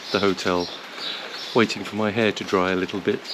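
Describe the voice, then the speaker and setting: Amid noticeable background noise, a man speaks at a fairly quick pace in a monotone, flat way. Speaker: motorcycle travel vlogger. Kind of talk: travel vlog. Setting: hotel foyer, then roadside at border. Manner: hesitant, many fillers; shouting.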